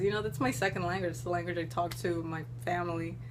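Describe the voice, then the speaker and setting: A woman with an American accent talks in a room with audible echo and noticeable background noise. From Florida, US. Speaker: YouTuber. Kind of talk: casual Q&A vlog. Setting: at home. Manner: animated.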